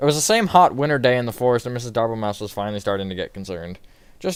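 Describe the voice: With lively intonation, the clip is plain reading aloud.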